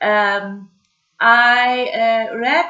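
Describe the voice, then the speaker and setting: A woman with a non-native accent has a bright, sharp tone. Her voice is fairly high, with ordinary pitch variation. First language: German. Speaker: vlogger. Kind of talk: casual video message. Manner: halting, many fillers.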